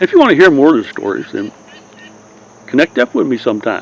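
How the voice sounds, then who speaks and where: A man rattles off his words at a very fast pace while noticeable background noise carries on. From Southern California. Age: 80s+. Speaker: YouTuber, Navy veteran storyteller. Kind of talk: casual monologue. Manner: rambling, hesitant with fillers.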